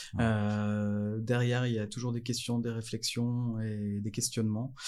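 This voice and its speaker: A man's medium-pitched, dark, mellow voice, monotone and flat, at a very slow pace. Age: 40s. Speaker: energy education project officer. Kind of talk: casual interview. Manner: halting, frequent hesitations.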